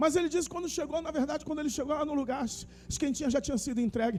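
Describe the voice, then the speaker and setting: A man speaks over noticeable background noise. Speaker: pastor. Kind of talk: sermon. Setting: church service with congregation. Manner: conversational, addresses congregation by name.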